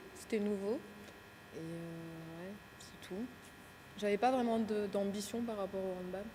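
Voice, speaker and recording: Amid noticeable background noise and audible room echo, a woman speaks very slowly at a medium pitch with ordinary pitch variation, long, frequent pauses and big swings in loudness. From Cameroon, raised in Ambérieu-en-Bugey, eastern France. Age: 20s. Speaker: handball player. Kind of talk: interview.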